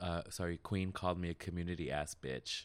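Very deep and low, a man's voice moves at a fairly quick pace in a very clean recording with a silent background. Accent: American. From Las Vegas, Nevada, US. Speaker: visual artist and podcaster. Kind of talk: casual interview chat.

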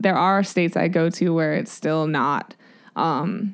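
A woman speaks in an ordinary speaking voice at a moderate pace. Her pitch is fairly low, with ordinary pitch variation. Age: 30s. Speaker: professional mountain biker. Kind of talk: interview.

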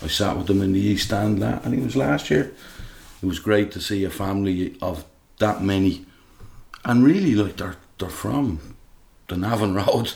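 In a Dublin accent, a man speaks at a moderate pace with a fairly low pitch and lively intonation. His voice is somewhat breathy, and he takes long, frequent pauses. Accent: Dublin Irish. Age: 50s. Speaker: football fan, guest co-host. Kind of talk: casual chat.

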